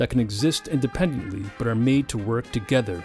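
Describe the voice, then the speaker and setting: A man at medium pitch and moderate pace, with music in the background. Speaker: poet and music composer. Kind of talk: podcast introduction.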